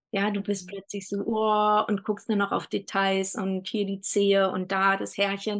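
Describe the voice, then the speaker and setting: This woman has a plain, everyday voice at medium pitch. She speaks at a moderate pace. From Germany, Berlin. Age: 40s. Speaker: doula. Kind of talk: casual chat.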